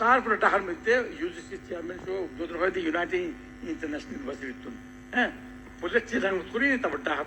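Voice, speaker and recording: A man's voice swings widely in loudness over noticeable background noise. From Chittagong, Bangladesh. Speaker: professor. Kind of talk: interview answer.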